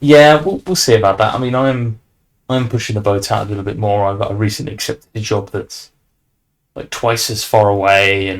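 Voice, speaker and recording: On a very clean recording with a silent background, a man with a British accent speaks at a moderate pace in a fairly low pitch with ordinary pitch variation. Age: young. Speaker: podcast host. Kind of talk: casual chat.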